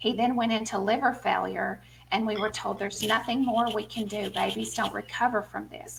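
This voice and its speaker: A woman speaks with a Southern US accent. Her pace is moderate. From US South, small town. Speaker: author and speaker. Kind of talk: interview testimony.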